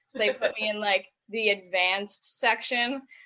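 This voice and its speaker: A woman talks with a fairly high pitch. She speaks with a Buffalo accent. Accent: Buffalo accent, nasal a's. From western New York (Buffalo area). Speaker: band director and music teacher. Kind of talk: casual podcast interview.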